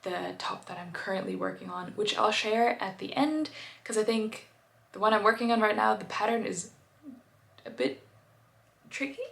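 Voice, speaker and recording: Over noticeable background noise and audible room echo, a woman talks at a fairly quick pace. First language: German. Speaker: knitting vlogger. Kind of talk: casual video chat. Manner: hesitant, many fillers.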